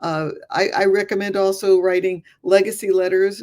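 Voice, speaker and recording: In an American accent, a woman talks with a dark, mellow tone. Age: 60s. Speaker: retired dentist and grief counselor. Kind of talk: podcast interview. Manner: halting, many fillers and restarts.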